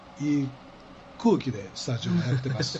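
A man speaks at a medium pitch in a Kansai accent. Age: 60s. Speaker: radio host. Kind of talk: casual chat. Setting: studio.

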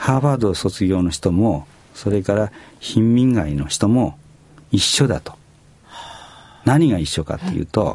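Speaking at a fairly slow pace, a man with a fairly low pitch moves through very wide pitch swings. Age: 70s. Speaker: company president. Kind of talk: radio interview. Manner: hesitant with fillers.

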